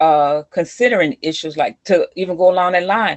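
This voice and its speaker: This is a woman with fairly low pitch. She has an ordinary speaking voice. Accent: American. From US Midwest, East St. Louis area then Milwaukee. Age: 60s. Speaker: community leader and youth mentor. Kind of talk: interview.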